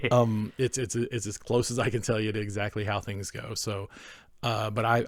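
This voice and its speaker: A man speaks with a slight Southern US accent. His fairly low pitch stays in a monotone, flat intonation. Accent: slight Southern drawl. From North Carolina Appalachians, US South. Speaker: podcast co-host. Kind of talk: casual chat. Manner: halting, many fillers and restarts.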